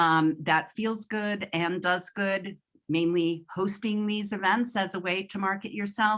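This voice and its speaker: Keeping a fairly slow pace, a woman speaks at medium pitch with fairly even intonation. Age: 60s. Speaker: event host and storytelling community founder. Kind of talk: closing remarks of an online gathering. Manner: hesitant, many fillers.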